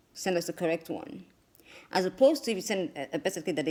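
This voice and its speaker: A woman's fairly low voice moves through very wide pitch swings. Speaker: immigration attorney. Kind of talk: explainer video. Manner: fast.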